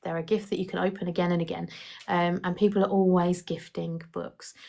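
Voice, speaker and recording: Speaking with an English accent, a woman talks at a fairly quick pace. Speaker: independent book sales partner recruiting others. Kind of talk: live stream recruitment talk answering chat questions. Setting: live stream with chat. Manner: fast.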